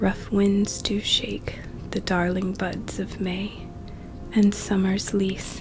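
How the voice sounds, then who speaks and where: The voice is whispering at a very slow pace. Music plays in the background. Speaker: college student. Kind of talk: poetry reading. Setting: soothing background music. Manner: soft-spoken.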